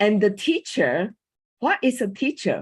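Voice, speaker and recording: At a fairly slow pace, a woman with a Chinese accent speaks at medium pitch in a somewhat breathy voice over a quiet background. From Taiwan. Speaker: coach and former school teacher. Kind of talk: panel talk. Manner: halting.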